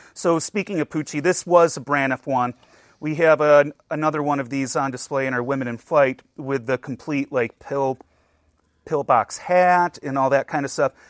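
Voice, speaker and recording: A man with an American accent and an ordinary speaking voice, fairly high in pitch, at a moderate pace with fairly even intonation, in a dry, close sound with no echo. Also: very clean recording, silent background. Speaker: museum collections director. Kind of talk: casual interview chat.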